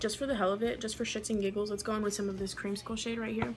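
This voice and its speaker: Noticeable background noise behind a woman's voice at a medium pitch. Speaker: beauty youtuber. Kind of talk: makeup tutorial. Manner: fast; animated.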